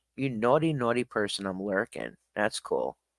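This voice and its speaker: Recorded very clean with a silent background and a dry, close sound with no echo, a man speaks in an ordinary speaking voice at a moderate pace with lively intonation. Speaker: streamer. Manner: casual, chatty.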